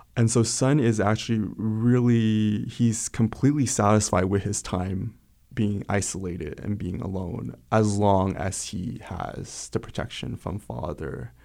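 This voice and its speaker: Recorded very cleanly over a silent background, a man speaks at a fairly slow pace. His fairly low voice has a dark, mellow tone and ordinary pitch variation. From Wichita, Kansas (immigrated as a child). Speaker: novelist and poet. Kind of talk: interview. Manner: halting, with fillers.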